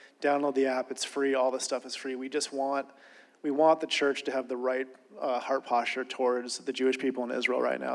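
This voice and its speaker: Delivered at a very fast pace, the speech comes in an American accent with monotone, flat intonation. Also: man. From Ohio, US Midwest. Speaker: ministry project leader. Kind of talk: speech to conference audience.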